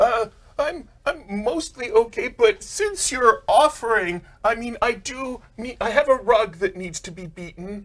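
Putting on a character voice, a man speaks at an extremely high pitch, fairly slowly, with lively intonation and big swings in loudness. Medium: actual play. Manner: chatty, warm.

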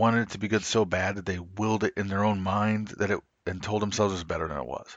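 With an American accent, a man talks at a fairly quick pace and fairly low pitch in an unremarkable speaking voice. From US South. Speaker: wrestling podcast host. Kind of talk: casual chat.

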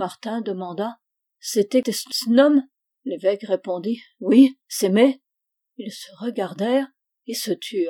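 Against a quiet background, someone reads in an unforced voice with ordinary pitch variation.

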